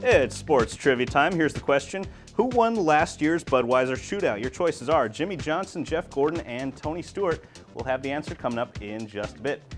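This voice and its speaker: Over music in the background, a man with a fairly high pitch sounds upbeat and energetic, talking at a fairly quick pace with lively intonation. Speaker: sports reporter and anchor. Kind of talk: TV sports anchor segment, trivia and race recap. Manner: upbeat, energetic.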